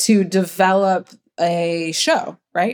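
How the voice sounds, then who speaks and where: In an American accent, a woman with an ordinary speaking voice and a fairly low pitch talks with fairly even intonation. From US Midwest, Ohio. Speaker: media producer, production company co-founder. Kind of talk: interview conversation.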